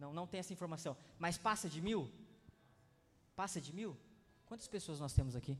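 With long, frequent pauses, a man talks at a high pitch and moderate pace, using ordinary pitch variation. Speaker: pastor. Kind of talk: sermon. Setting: church conference. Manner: casual, repetitive.

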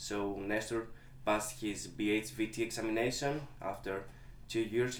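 A man with a Greek accent speaks at a fairly low pitch with ordinary pitch variation. Audible room echo surrounds his voice. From Greece. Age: 20s. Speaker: dog trainer. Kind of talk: interview.

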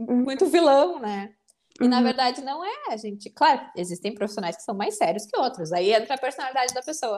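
Her high voice swings very widely in pitch as she talks at a moderate pace. The recording is very clean, with a silent background. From southern Brazil, Porto Alegre. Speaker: psychologist. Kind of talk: interview.

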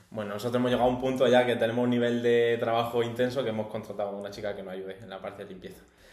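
Against noticeable background noise, a man rushes at a very fast pace with hardly any pauses, using a medium pitch, fairly even intonation and big swings in loudness. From Almería, Andalusia, Spain. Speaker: podcast guest. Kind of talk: casual chat.

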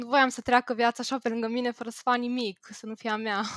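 A woman's fairly high voice at a fairly quick pace, dry and close with no echo, in a very clean recording with a silent background. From Bucharest, Romania. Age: 20s. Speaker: IT worker. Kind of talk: casual chat.

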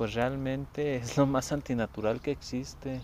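A man speaks at a fairly slow pace. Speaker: podcaster. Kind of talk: reflective monologue. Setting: outdoors in nature.

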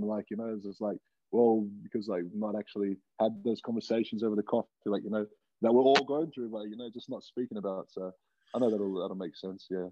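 Fairly even intonation runs through speech delivered very fast. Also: man. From Australia, Wollongong. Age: 20s. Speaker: professional rugby player. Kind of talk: casual chat.

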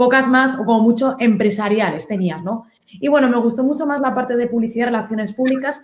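With an unremarkable speaking voice, a woman talks at a fairly quick pace and fairly high pitch, using ordinary pitch variation. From Spain. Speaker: digital marketing consultant. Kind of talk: interview.

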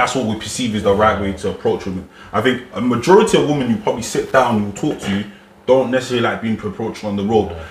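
A man at a very fast pace and medium pitch with ordinary pitch variation, amid audible room echo and noticeable background noise. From Ghana. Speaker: podcast panelist. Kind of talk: casual discussion.

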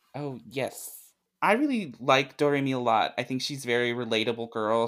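A man with an ordinary speaking voice, a fairly quick pace and fairly even intonation. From US South, Arkansas. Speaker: anime fan guest. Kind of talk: casual chat.

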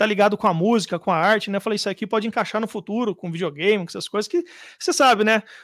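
A man talks at a very fast pace and a high pitch with ordinary pitch variation, the sound dry and close with no echo on a very clean recording with a silent background. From Brazil, mostly Jundiaí area. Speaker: guitar pedal maker. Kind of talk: casual interview.

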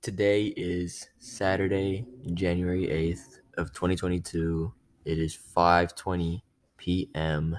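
In a put-on, robotic character voice, a man speaks very slowly at a very deep, low pitch. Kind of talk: reading out the date and time like a recording. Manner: flat, robotic monotone.

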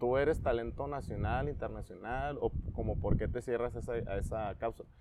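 Using a normal speaking voice, a man talks at a moderate pace and a medium pitch. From Tecate, Baja California, Mexico. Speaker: sports coach. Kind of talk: casual interview.

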